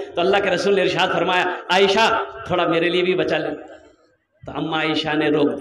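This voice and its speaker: A man speaks with ordinary pitch variation. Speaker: Islamic preacher (maulana). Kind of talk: religious sermon to a live crowd. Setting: public religious gathering with a crowd. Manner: emphatic, rhetorical, audience-engaging.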